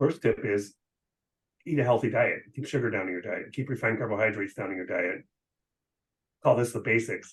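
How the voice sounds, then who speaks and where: With long, frequent pauses between fairly quick stretches, a man talks at medium pitch, somewhat breathy, with ordinary pitch variation. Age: 60s. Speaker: physician. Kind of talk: interview. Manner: casual, hesitant with fillers.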